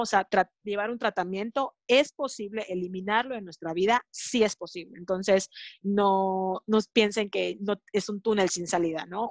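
An ordinary speaking voice from a woman, medium in pitch, fairly slow, with fairly even intonation. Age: 30s. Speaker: sexologist and mother. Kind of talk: podcast interview.

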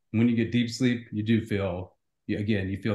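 A man speaks with a dark, mellow tone that is somewhat breathy. His intonation is fairly even. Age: 50s. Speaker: CEO and author. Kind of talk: interview.

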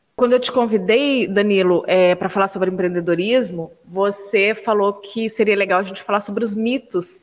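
There is noticeable background noise as a woman talks at a moderate pace. She barely pauses, and her intonation is fairly even. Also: medium pitch for a woman. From Brazil, São José dos Campos area, family from Minas Gerais. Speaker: podcast co-host, journalist. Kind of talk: podcast interview.

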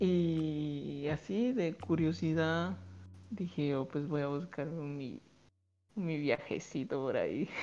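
With a dark, mellow tone, a man speaks at a very slow pace in a fairly high pitch. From Guatemala. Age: 20s. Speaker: student living abroad. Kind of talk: casual interview. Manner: halting.

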